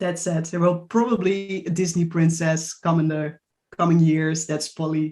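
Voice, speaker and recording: Someone with a Dutch accent speaks at a moderate pace. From Netherlands. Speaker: writer. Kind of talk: panel discussion.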